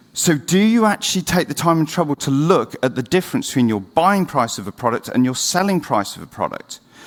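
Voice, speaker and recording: A man speaks with a British accent in a fairly high voice, his pitch swinging very widely. His pace is fairly quick, with hardly any pauses. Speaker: conference speaker, marketing agency founder. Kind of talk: conference talk. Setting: stage with audience. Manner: speeding up against the clock.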